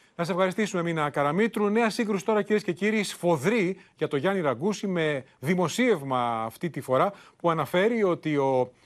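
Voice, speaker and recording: Against a quiet background, a man talks at a moderate pace in a high voice with lively intonation. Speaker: news anchor. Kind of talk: news reading. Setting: studio. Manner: formal.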